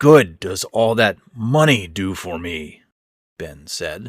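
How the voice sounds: Lively intonation colors a natural reading voice. Around it, the background stays quiet.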